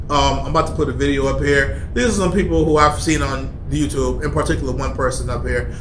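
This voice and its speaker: A man speaks fairly fast, with noticeable background noise around him. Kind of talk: angry rant, preachy vlog. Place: office. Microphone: phone near.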